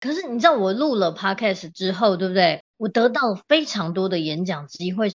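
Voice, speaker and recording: Her intonation is lively, her pitch medium, and her pace moderate. This woman speaks with hardly any pauses. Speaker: organizing consultant and podcast host. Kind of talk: casual chat. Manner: animated.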